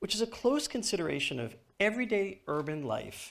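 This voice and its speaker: Fairly quick speech in a New York accent, full of very wide pitch swings. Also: man. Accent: New York American. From US, New York. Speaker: author and technology speaker. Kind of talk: conference keynote. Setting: stage with audience. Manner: fast.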